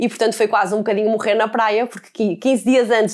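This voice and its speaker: A woman is speaking. Her pace is fairly quick. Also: very clean recording, silent background. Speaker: podcast host. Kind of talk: personal monologue.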